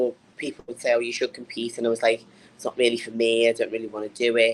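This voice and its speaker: In a northern English accent, a woman speaks with a very deep, low pitch. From northern England. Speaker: bodybuilder and personal trainer. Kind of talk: interview.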